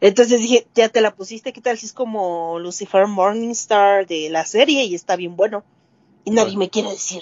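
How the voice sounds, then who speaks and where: A woman with an ordinary speaking voice, medium pitch, ordinary pitch variation, a moderate pace and big swings in loudness. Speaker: music podcast co-host. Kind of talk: casual chat.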